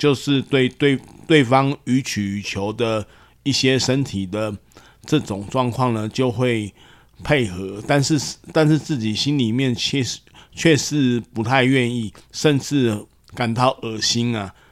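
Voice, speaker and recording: Very slowly, a man talks with a medium pitch and ordinary pitch variation. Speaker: psychologist, podcast host. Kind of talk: casual chat.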